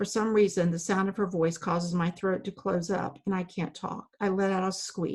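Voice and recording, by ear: What we hear is someone reading aloud in a natural voice.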